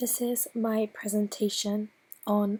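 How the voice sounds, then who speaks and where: At a fairly slow pace, the voice comes through somewhat breathy with a dark, mellow tone. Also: woman. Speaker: student presenter. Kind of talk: student presentation. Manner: not projecting.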